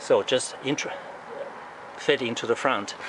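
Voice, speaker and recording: A man talks while noticeable noise sounds in the background. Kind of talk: casual show-and-tell commentary. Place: street. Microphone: phone near.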